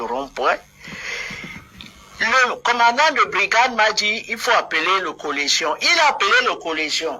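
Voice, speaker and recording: Over noticeable background noise, a woman with a Cameroonian accent talks at a fairly slow pace, her pitch swinging very widely. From southern Cameroon. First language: Bulu (speaking French). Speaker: political activist. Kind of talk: heated debate. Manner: animated.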